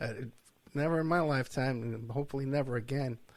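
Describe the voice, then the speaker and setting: With an American accent, this man talks at a fairly quick clip in a normal speaking voice, his pitch fairly high with ordinary variation. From New York. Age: 60s. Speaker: podcast host, private investigator. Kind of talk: interview.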